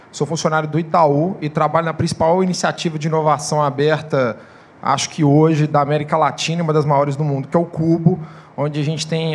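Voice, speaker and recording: Talking at a fairly quick pace, a man with a fairly high voice keeps his intonation flat and monotone. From Minas Gerais, Brazil. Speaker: open innovation manager at startup hub. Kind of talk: conference panel talk.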